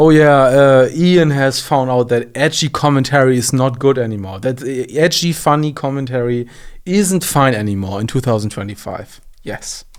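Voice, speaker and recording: A man speaks at a moderate pace with a German accent. The recording is very clean, with a silent background. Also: medium pitch for a man, ordinary pitch variation. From Germany. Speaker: commentary youtuber. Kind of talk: reaction commentary. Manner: halting, many false starts and fillers.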